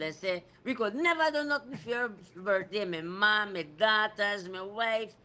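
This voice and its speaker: Speaking at a moderate pace, a man uses a raised, projected voice that is high-pitched, with a bright, sharp tone and lively intonation. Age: 60s. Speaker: cycling race organizer. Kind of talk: radio talk show interview.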